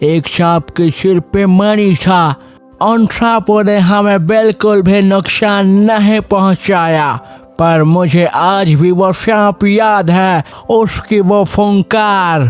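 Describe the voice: A man's cartoonish character voice, high in pitch and very slow in pace, over faint music in the background.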